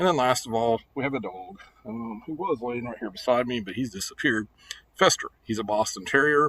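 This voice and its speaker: Speaking at a moderate pace, a man with an American accent holds a medium pitch. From US Midwest, Missouri. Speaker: teacher. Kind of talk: class welcome video. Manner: halting with fillers.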